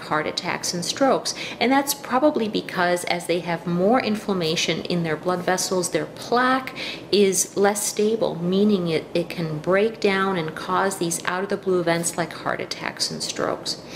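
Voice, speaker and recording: With noticeable background noise, a woman speaks at a moderate pace with ordinary pitch variation. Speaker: health educator. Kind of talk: informal health talk. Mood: calm, explanatory. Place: kitchen. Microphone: webcam.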